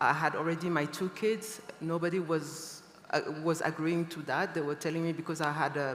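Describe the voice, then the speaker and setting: With a French accent, a woman speaks at a very deep, low pitch and with fairly even intonation. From Niger. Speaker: fashion designer. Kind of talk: panel discussion.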